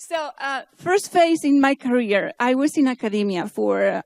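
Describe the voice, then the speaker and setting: Recorded very cleanly against a silent background, a woman speaks at a high pitch and a moderate pace in a dry, close sound with no echo. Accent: Spanish. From Spain. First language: Spanish. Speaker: keynote speaker, AI researcher and startup founder. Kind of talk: conference keynote. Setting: stage with audience. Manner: halting.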